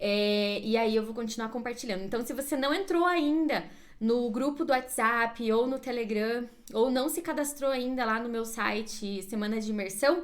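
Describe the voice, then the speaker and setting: Against audible room echo, a woman talks at a moderate pace, her fairly high pitch showing ordinary variation. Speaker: career coach. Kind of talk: live stream class. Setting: Instagram live.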